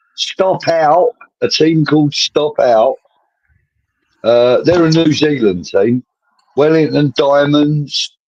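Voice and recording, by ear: Slow and slightly mellow, a man's fairly high voice moves with ordinary pitch variation.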